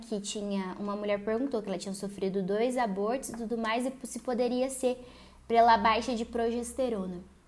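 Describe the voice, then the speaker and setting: Ordinary pitch variation and a moderate tempo in a normal speaking voice. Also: woman. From Paraná, Brazil. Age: 20s. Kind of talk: solo religious lifestyle podcast monologue.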